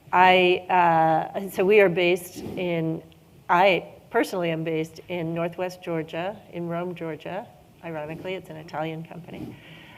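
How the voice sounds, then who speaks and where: The delivery is monotone and flat, yet the loudness swings a lot. Audible room echo surrounds it. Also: woman, fairly low pitch for a woman, moderate pace. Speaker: corporate sustainability and public affairs executive. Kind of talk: panel discussion. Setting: stage with audience. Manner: hesitant, many fillers.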